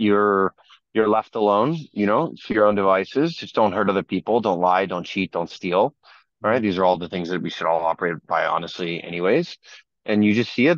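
In an American accent, the speaker goes at a moderate pace with ordinary pitch variation, the sound dry with no echo over a quiet background. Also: man. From Northern Virginia, US. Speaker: crypto entrepreneur and asset manager. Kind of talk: casual chat. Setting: video call. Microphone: video call.

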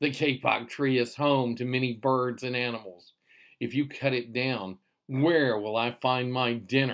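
An unforced reading voice with fairly even intonation comes through against a quiet background.

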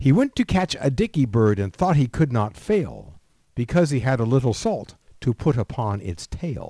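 A man's somewhat breathy voice, dark and mellow in tone, at a medium pitch with very wide pitch swings and a moderate pace, dry and close with no echo over a quiet background. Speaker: grandfather reading nursery rhymes. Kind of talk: reading aloud.

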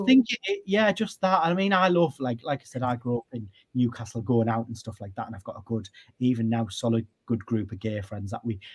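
A somewhat breathy man with a North East England accent, fairly quick pace, lively intonation and big swings in loudness. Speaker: radio broadcaster. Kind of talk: interview answer. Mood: relaxed, reminiscing. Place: home room.

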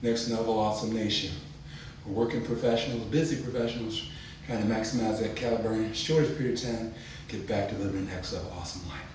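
At a very fast pace, a man talks amid light background noise with audible room echo. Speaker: fitness channel host. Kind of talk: casual vlog outro. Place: home room. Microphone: camera far.

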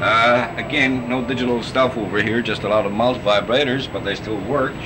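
A man talking at a fairly quick pace, with noticeable background noise. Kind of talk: guided tour commentary. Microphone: old recording.

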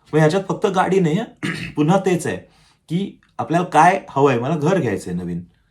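A man is speaking. His voice is somewhat breathy. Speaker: self-help YouTuber. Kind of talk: motivational talk to camera. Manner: conversational.

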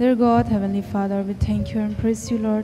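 There is a woman speaking while music sounds faintly behind her. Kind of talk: spoken prayer. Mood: reverent, gentle. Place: church. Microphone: handheld.

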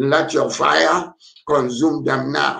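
The man's voice comes through over a quiet background. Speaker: pastor. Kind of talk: fervent deliverance prayer leading an online congregation. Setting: online prayer meeting with callers tuning in. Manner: urgent, exhorting, calling congregants to pray aloud. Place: home room. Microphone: webcam.

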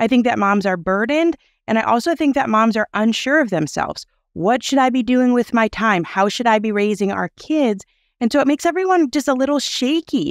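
A woman with an American accent at a fairly quick pace, lively in intonation and very even in loudness, with a dry sound with no echo and a quiet background. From US Midwest. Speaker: parenting podcast host. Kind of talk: interview. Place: home room. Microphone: headset.

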